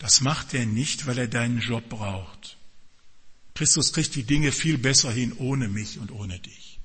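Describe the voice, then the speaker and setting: A man's ordinary speaking voice at a medium pitch and a fairly slow pace. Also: ordinary pitch variation. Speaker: pastor. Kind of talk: sermon. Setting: church with congregation and children present. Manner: direct, warm and earnest, addressing the congregation.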